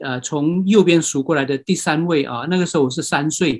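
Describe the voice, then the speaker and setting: High-pitched speech from a man, moderate in speed, with ordinary variation in pitch. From Myanmar. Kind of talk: lecture. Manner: halting.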